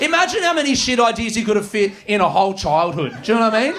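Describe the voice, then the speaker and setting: With an Australian accent, a man speaks with lively intonation. Noticeable background noise comes through. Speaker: stand-up comedian. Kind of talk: live stand-up comedy set. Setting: comedy club stage, live audience.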